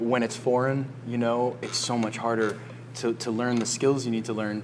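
Noticeable background noise behind a man speaking at a moderate pace and a medium pitch. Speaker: surf coach and podcast host. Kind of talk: casual chat. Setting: cafe by a fire. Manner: animated.

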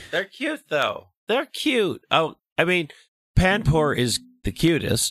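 On a very clean recording with a silent background, a man speaks very slowly in a high voice with very wide pitch swings. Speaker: podcast co-host. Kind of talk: casual chat.

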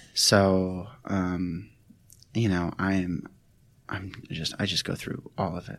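A man with a very deep, low pitch talks at a very slow pace in a monotone, flat intonation. He pauses long and often. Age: 20s. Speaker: recovering addict and cancer survivor. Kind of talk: personal testimony interview. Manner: halting, many fillers and repetitions.

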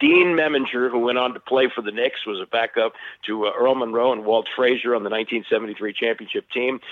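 At a fairly quick pace, a man with a normal speaking voice talks at medium pitch with fairly even intonation. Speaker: sports radio host. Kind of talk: casual sports chat.

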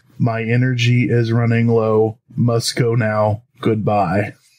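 This man uses a put-on character voice with a medium pitch. He talks at a fairly slow pace. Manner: monotone.

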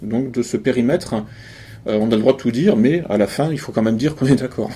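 Here a man talks at a fairly quick pace. His tone is dark and mellow. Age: 40s. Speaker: essayist and conference speaker. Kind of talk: public lecture. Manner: halting, many repetitions.

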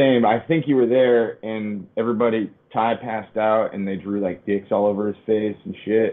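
Using a normal speaking voice with an American accent, a man of medium pitch talks at a moderate pace with fairly even intonation and hardly any pauses. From Connecticut, US. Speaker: touring metal musician. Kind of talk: casual chat.

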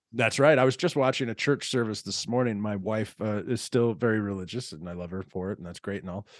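A man with an American accent and a fairly low pitch talks very fast, with hardly any pauses and big swings in loudness. His pitch varies in an ordinary way on a very clean recording with a silent background. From Texas. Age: 40s. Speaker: podcast host. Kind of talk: casual chat.

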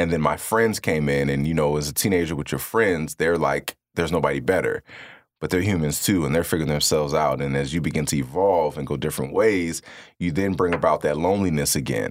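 A man talks at a very fast pace with a very deep, low pitch. His voice has vocal fry and ordinary pitch variation. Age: 30s. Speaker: public speaker. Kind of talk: casual interview chat.

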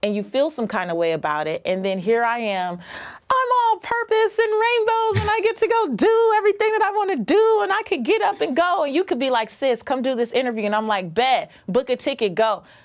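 Over noticeable background noise, a woman with an American accent talks at a fairly quick pace and high pitch, with very wide pitch swings. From US. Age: 40s. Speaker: personal finance author and podcaster. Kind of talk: casual interview.

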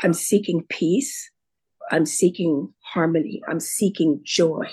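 Somewhat breathy and dark, mellow in tone, a woman speaks at a very slow pace with fairly low pitch and ordinary pitch variation. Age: 70s. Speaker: retired teacher, podcast guest. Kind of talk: casual interview about personal story and recovery. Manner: reflective, hesitant with repeated words.

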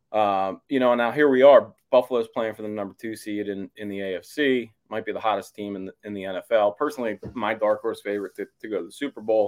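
In a dry, close recording with no echo, a man with a plain, everyday voice speaks at a fairly quick pace, his fairly low pitch carrying fairly even intonation while his loudness swings widely. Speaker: sports columnist. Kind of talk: sports talk interview.

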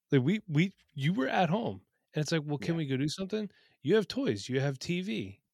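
A man at a fairly quick pace, with a fairly high pitch and very wide pitch swings, in a very clean recording with a silent background and a dry, close sound with no echo. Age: 30s. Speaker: podcast host and fantasy football content creator. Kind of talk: casual chat. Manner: casual, joking.

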